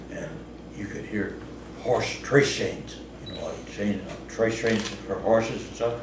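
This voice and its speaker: Spoken in a rural Missouri accent, the flat, monotone delivery runs at a fairly slow pace with long, frequent pauses, big swings in loudness, audible room echo and noticeable background noise. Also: man, medium pitch for a man. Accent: rural Missouri American. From US Midwest, Southeast Missouri. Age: 80s+. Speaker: storyteller. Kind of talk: casual storytelling interview. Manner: conversational, halting.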